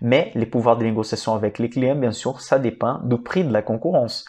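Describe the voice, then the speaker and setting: A man speaks at a moderate pace with fairly even intonation against a quiet background. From Brazil. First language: Portuguese (speaking French). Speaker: financial analyst and investing YouTuber; investment educator. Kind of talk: educational stock analysis presentation; explanatory lecture on stock analysis. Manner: hesitant with fillers. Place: home room. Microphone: lapel.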